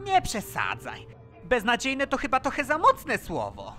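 With clear music playing behind it, a cartoonish character voice moves along at a moderate pace. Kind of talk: fan dub of cartoon scene.

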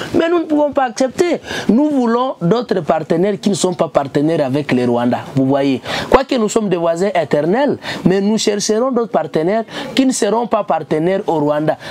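A woman speaks at a moderate pace and a medium pitch, her pitch swinging very widely. Noticeable background noise sits behind her.

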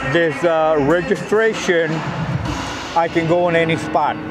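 Fairly slow speech over clear music in the background. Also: man. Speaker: street evangelist vlogger. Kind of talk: casual vlog chat. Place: street. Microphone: phone near.

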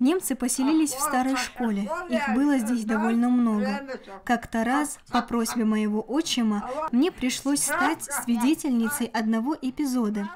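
Noticeable background noise runs behind a woman with a high pitch. She talks at a fairly slow pace with ordinary pitch variation. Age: 80s+. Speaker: war veteran. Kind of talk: interview answer.

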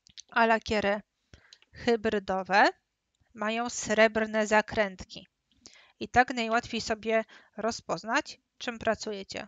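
In a fairly high voice, a woman speaks very slowly and flatly, with long, frequent pauses. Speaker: nail stamping instructor. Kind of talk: webinar tutorial. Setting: live webinar with camera. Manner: speaking louder than usual.

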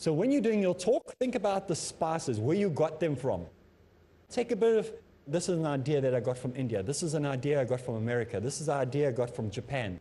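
Talking at a very fast pace, a man with a fairly high pitch and a dark, mellow tone sounds somewhat breathy, with very wide pitch swings. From South Africa. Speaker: Islamic teacher. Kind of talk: lecture. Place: studio.

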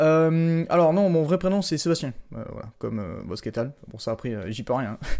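Against a quiet background, a man speaks in a dark, mellow tone with lively intonation. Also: fairly high pitch for a man, moderate pace, big swings in loudness. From southern France. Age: 20s. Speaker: gaming youtuber. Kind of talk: casual chat. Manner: hesitant, many fillers. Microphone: studio mic.

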